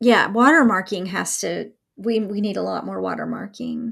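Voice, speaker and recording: A woman with a slight Southern US accent at a fairly slow pace. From Mississippi, US South. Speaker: podcast co-host, academic. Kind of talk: casual chat.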